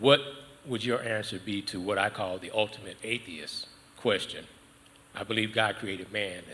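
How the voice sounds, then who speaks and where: At a moderate pace, a man with a fairly low pitch talks with fairly even intonation. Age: 60s. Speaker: audience member asking a question. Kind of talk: audience question.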